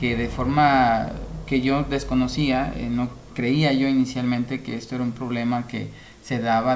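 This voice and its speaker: A man talks at a medium pitch and a fairly slow pace, his intonation flat and monotone. The room has audible echo, with noticeable background noise. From Mexico, Nayarit. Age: 30s. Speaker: interview guest sharing health experience. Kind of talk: interview testimony. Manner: halting, many filler sounds.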